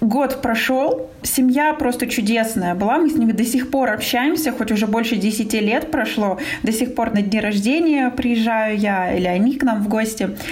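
Against noticeable background noise and audible room echo, a woman at a fairly high pitch talks at a moderate pace with ordinary pitch variation. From Russia. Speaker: business coach and marketing expert. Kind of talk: interview.

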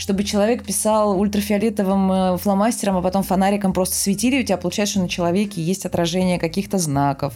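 Very fast in pace, a woman's medium-pitched voice carries a dark, mellow tone. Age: 30s. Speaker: film production designer. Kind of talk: casual chat. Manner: animated.

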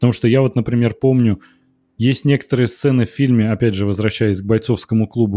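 A man with a normal speaking voice talks fairly quickly at medium pitch with fairly even intonation, the sound dry and close with no echo. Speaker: film critic podcast co-host. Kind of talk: casual chat.

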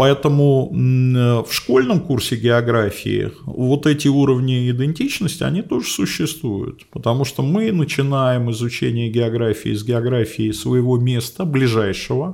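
With an unremarkable speaking voice, a man talks at a fairly slow pace with hardly any pauses, keeping a medium pitch and ordinary pitch variation. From Moscow, Russia. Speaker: geography professor. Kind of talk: interview.

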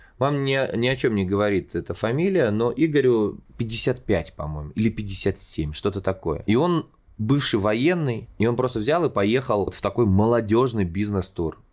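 Lively intonation marks this man's medium-pitched voice. He speaks at a fairly slow pace. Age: 30s. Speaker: podcast host, showman and actor. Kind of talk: solo storytelling monologue. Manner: animated.

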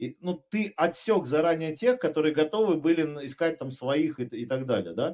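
Dark, mellow male tone with ordinary pitch variation. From Pyatigorsk, southern Russia. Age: 30s. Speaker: startup founder and businessman. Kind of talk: casual podcast interview. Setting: studio.

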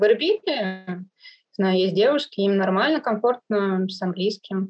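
Using a plain, everyday voice, a woman speaks at a moderate pace with lively intonation. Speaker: Russian expat living in Iraq. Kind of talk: interview conversation.

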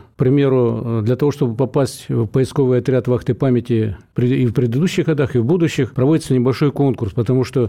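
A man speaks in a plain, everyday voice at a medium pitch. He moves at a fairly quick pace with fairly even intonation. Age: 60s. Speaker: trade union leader. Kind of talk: radio interview.

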